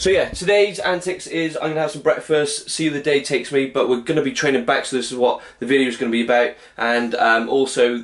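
The speech races along at a very fast pace with ordinary pitch variation. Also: man. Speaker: fitness vlogger. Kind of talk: casual vlog chat. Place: kitchen. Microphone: phone near.

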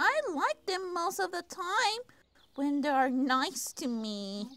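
A put-on character voice swings very widely in its high pitch. It moves at a fairly slow pace.

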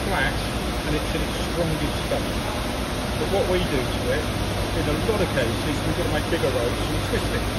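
A man speaks at a moderate pace with loud noise in the background. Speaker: factory staff member. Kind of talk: interview answer. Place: factory. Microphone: phone near.

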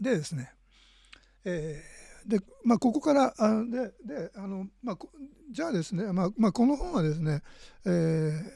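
A man speaks at a moderate pace in a high voice with a dark, mellow tone and very wide pitch swings. He leaves long, frequent pauses. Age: 60s. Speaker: art critic and scholar. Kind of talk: lecture. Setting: live stream from home. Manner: halting.

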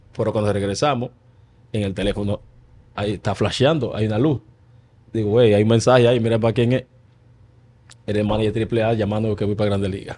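Speaking at a very fast pace yet with long, frequent pauses, a man uses a dark, mellow tone, a fairly low pitch and fairly even intonation over light background noise. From Dominican Republic. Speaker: retired baseball player; guest. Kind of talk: casual interview. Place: studio. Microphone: studio mic.

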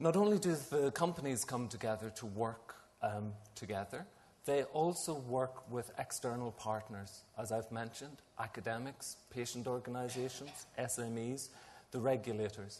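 This man talks at a moderate pace with few pauses, a slightly mellow tone, medium pitch and ordinary pitch variation.

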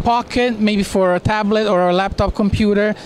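A man's high voice at a moderate pace, dry with no echo, over light background noise. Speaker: presenter. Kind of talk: product presentation. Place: hall. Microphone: handheld.

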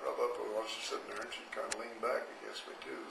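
Someone with an American accent talks at a very fast pace over noticeable background noise. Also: man. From Arizona. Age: 80s+. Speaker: grandfather interviewee. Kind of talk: interview answer. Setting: karaoke microphone recording. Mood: warm, amused reminiscing. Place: home room. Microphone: handheld.

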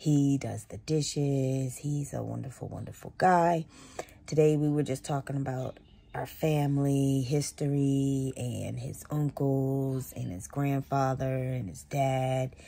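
A woman speaks at a fairly slow pace in a very deep, low pitch, her tone dark and mellow and her intonation fairly even. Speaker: vlogger. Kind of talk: casual vlog chat. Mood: relaxed, reflective. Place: home room. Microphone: phone near.

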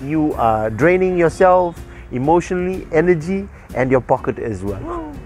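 A man's voice comes through dry with no echo, over faint music in the background. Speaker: radio breakfast show host. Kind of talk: casual radio banter, talk show. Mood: playful, joking. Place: open country.

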